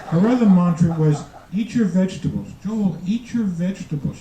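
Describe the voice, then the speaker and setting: Against noticeable background noise, a man with a New York accent speaks at a moderate pace. His pitch is high, with ordinary variation. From New York, the Bronx. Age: 70s. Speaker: retired doctor, amateur comedian. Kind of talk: stand-up. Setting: stage with audience. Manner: halting.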